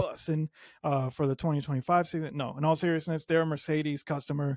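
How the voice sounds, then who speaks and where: Dry and close with no echo, a man's fairly high voice races along at a very fast pace. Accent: Spanish. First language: Spanish. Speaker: F1 podcast host. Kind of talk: solo podcast commentary. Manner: casual, conversational with filler words.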